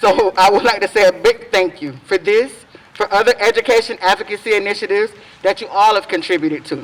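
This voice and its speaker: Against noticeable background noise, a woman talks at a fairly quick pace in a medium pitch with ordinary pitch variation. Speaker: parent and education activist. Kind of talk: prepared speech. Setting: outdoor public event in the rain, microphone. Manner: loud.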